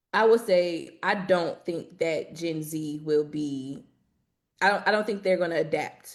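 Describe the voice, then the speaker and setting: An unremarkable speaking voice from a woman with an American accent, fairly low in pitch, fairly slow, with ordinary pitch variation, in a very clean recording against a silent background. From southern Illinois, East St. Louis. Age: 20s. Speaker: civil rights organizer. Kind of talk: panel discussion.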